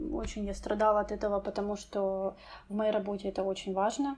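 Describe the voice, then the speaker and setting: A woman talks at a moderate pace. Her voice is fairly high in pitch with a dark, mellow tone. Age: 20s. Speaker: English teacher sharing depression story. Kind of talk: personal testimony.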